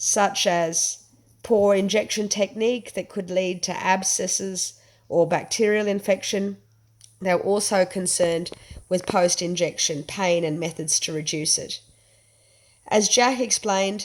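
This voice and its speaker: Over a silent background in a very clean recording, a woman speaks with an Australian accent at a medium pitch. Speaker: anthropologist researcher. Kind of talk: academic presentation. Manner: subdued, not animated.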